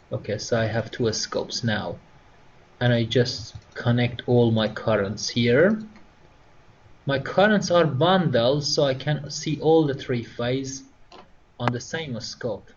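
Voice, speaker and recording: A man with a non-native accent speaks at a very slow pace, with long, frequent pauses. His medium-pitched voice has lively intonation. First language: not English. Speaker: instructor. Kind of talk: tutorial. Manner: halting.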